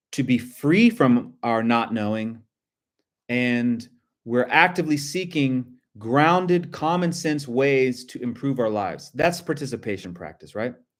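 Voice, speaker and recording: With lively intonation, a man speaks at a medium pitch and a fairly slow pace. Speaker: spiritual teacher. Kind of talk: live-streamed lecture. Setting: live video stream. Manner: halting, many restarts and fillers.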